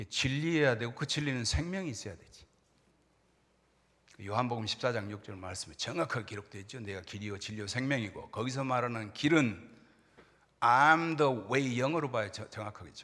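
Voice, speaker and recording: A man talks at a fairly quick pace in a bright, sharp tone, with lively intonation and big swings in loudness. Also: medium pitch for a man. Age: 60s. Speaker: pastor. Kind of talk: sermon.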